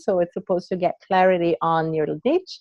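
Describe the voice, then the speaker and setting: A woman with a non-native accent, fairly low-pitched, her intonation fairly even. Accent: foreign. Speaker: branding coach, entrepreneur. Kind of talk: casual interview chat.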